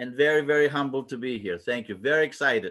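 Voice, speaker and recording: A man with a Greek accent, fairly high in pitch, talking at a fairly quick pace. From Greece, moved to Virginia at age ten. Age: 60s. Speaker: retired educator and wrestling video archivist. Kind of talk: interview. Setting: video call.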